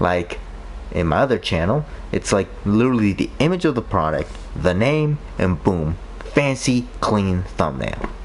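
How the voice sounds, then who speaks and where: Amid noticeable background noise, a man with a fairly low voice speaks at a fairly slow pace, his pitch swinging very widely. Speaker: gaming streamer. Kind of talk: casual chat. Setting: live stream.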